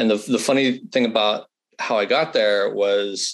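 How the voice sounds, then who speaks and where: At a moderate pace, the voice speaks with an American accent. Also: man. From California. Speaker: content and news executive. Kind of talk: interview.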